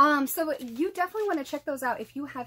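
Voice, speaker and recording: In an American accent, a woman speaks in a raised, projected voice with a bright, sharp tone. Her pitch swings very widely. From Massachusetts. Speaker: podcast host. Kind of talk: solo podcast monologue.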